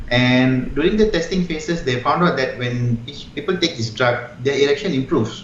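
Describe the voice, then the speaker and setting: Noticeable background noise surrounds this recording. A man speaks fairly quickly at a medium pitch with lively intonation. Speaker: urologist, guest doctor. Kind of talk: medical explanation in interview answer. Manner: soft-spoken, kind, explanatory.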